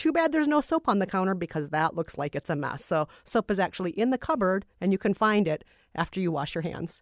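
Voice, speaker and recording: With a Minnesota accent, a woman talks at a very fast pace with hardly any pauses, a medium pitch, and very wide pitch swings. The recording is very clean, silent behind her, and dry and close with no echo. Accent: Minnesotan American English. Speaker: podcast host. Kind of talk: casual chat.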